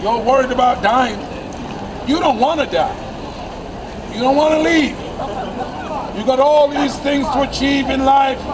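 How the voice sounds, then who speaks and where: Over noticeable background noise, a man with an extremely high pitch and ordinary pitch variation speaks at a fairly slow pace, pausing often and at length. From England. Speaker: street preacher. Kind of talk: street preaching sermon. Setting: outdoors, public square. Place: street. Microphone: camera far.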